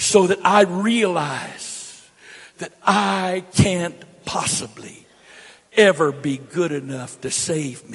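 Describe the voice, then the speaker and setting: Against noticeable background noise, a high-pitched man with an American accent speaks at a very slow pace, with ordinary pitch variation and big swings in loudness. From US, grew up moving around as a Navy child. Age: 60s. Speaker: pastor. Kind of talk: sermon. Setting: church. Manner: emphatic, repetitive.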